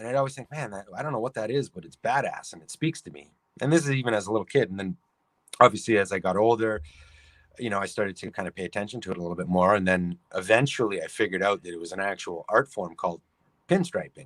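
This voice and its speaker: A man with an American accent talks very fast in a fairly low voice, his intonation lively and his loudness swinging widely, all in a dry, close sound with no echo. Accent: Canadian accent noticed by Californians. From Canada, Toronto, Ontario. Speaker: sign painter and pinstriping artist. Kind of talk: interview.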